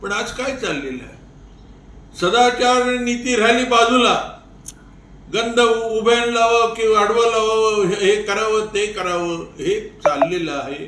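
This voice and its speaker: A man with a high-pitched voice. His pitch moves up and down in an ordinary way. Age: 90s. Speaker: elderly advocate and veteran of the independence movement. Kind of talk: interview answer.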